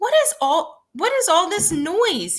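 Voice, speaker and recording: A woman puts on a squeaky character voice at an extremely high pitch, speaking at a fairly slow pace. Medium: read story. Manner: calm, patient.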